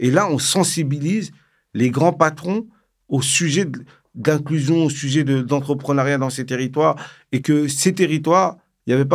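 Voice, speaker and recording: A man speaks in a normal speaking voice at a fairly high pitch, with ordinary pitch variation. The recording is very clean, with a silent background. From Paris suburbs, France (Val-d'Oise). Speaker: founder of a nonprofit for entrepreneurship. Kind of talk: casual interview.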